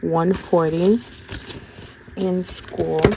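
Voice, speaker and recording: Noticeable background noise is present. She talks with ordinary pitch variation. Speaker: budgeting content creator. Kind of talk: casual tutorial.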